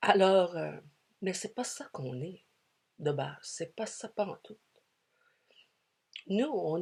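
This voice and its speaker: A woman talks at a very slow pace. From Quebec, Canada. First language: English (speaking French). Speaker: spiritual speaker. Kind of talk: spiritual talk. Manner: hesitant, many fillers.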